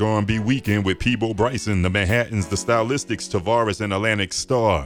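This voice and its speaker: Over background music, a man with a fairly low pitch talks at a fairly quick pace in a warm, playful tone. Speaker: radio DJ. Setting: radio studio with livestream. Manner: playful, flirtatious crooning over the music; laughing, warm, excitable hype.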